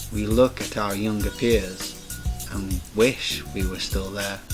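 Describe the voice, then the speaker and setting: A man at a fairly low pitch, very slow pace, music in the background. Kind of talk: spoken word poetry performance.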